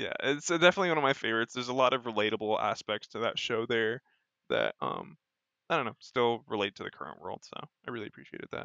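A man with an American accent, medium pitch and vocal fry, talking at a very fast pace, in a dry, close sound with no echo and a quiet background. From United States. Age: 20s. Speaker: model kit builder and streamer. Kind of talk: casual chat.

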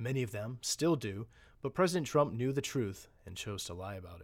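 This man has an unremarkable speaking voice at medium pitch. He goes at a fairly quick pace on a very clean recording with a silent background. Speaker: narrator reading report aloud. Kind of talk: formal newsreading of a government report. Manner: formal, measured, steady and authoritative.

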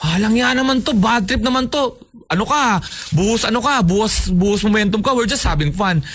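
Over noticeable background noise, a man with a high pitch and ordinary pitch variation talks very fast at a very even loudness. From Philippines, Navotas. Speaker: podcast co-host. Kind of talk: casual chat.

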